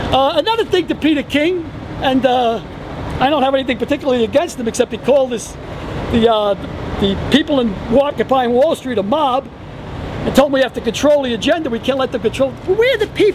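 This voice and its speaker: A man with a New York accent at an extremely high pitch, lively in intonation, very fast yet with long, frequent pauses, over noticeable background noise. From New York City, the Bronx. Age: 60s. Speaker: retired firefighter. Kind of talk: street interview at a protest. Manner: animated.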